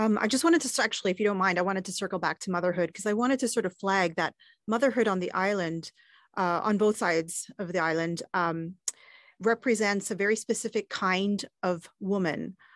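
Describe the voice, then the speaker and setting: A woman's medium-pitched voice at a fairly quick pace, with ordinary pitch variation, a dry sound with no echo, and a quiet background. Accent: Canadian. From Canada. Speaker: gender specialist advisor; podcast host or guest. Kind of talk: panel discussion. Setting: studio. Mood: thoughtful, earnest. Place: studio. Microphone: studio mic.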